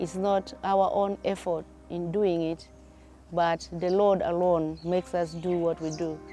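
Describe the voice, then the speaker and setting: Over music in the background, the speech moves at a very slow pace with fairly even intonation. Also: woman. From northern Uganda. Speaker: anesthetic tutor. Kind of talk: interview answer.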